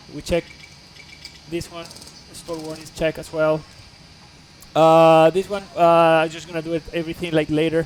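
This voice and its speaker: A man speaks at a moderate pace with a Spanish accent. His pitch is high. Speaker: flight simulator streamer. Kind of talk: live stream tutorial. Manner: halting with many fillers.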